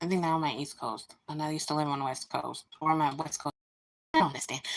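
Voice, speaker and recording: A woman with an American accent talks at a very fast pace. Her pitch is very deep and low. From United States. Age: 30s. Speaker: live streamer, reborn doll hobbyist. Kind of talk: casual live-stream chat. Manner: animated.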